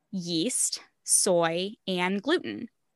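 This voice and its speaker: A woman with an American accent, medium pitch and ordinary pitch variation, an unremarkable speaking voice, dry and close with no echo, against a quiet background. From Arizona. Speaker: health coach and podcaster. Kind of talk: interview.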